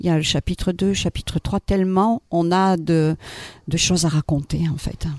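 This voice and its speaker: The intonation stays fairly even, delivered at a moderate pace. The sound is dry and close, with no echo. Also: man. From Toulouse, Occitanie. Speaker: musical theatre performer. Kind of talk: radio interview.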